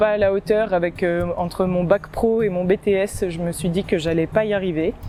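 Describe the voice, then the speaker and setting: Over noticeable background noise, a woman at medium pitch speaks at a moderate pace with fairly even intonation and hardly any pauses. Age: 20s. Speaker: agricultural engineering apprentice student. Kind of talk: testimonial interview. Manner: hesitant, many fillers.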